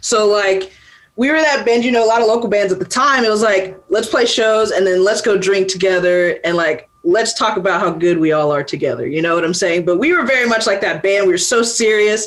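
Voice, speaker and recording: A woman with an American accent, medium in pitch, lively in intonation, very even in loudness, fairly quick with hardly any pauses, over noticeable background noise. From US South, Atlanta, Georgia. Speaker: rock musician. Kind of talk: interview. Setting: video call.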